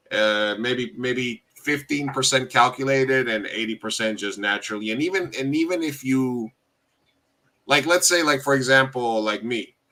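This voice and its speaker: The man's medium-pitched voice has a bright, sharp tone, with ordinary pitch variation at a moderate pace. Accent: American. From US, Uruguayan heritage. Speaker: podcast host. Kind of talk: casual chat.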